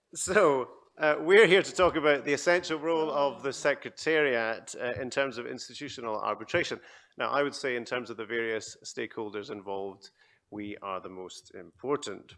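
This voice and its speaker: A man with a Scottish accent speaks at a medium pitch and moderate pace, his intonation lively. His loudness swings widely, and the recording is very clean with a silent background. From Scotland. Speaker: panel moderator, arbitration centre chief executive. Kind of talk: conference panel moderation. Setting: conference stage with audience.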